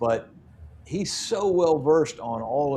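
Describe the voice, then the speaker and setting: Noticeable background noise sits behind a man's voice. He speaks fairly slowly with ordinary pitch variation. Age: 60s. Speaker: metal detecting youtuber. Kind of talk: casual chat.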